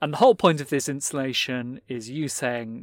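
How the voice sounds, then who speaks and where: A man speaks with a British accent at a moderate pace and medium pitch. The recording is very clean, with a silent background. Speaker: podcast host and magazine editor. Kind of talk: interview conversation. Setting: recorded live at a fair.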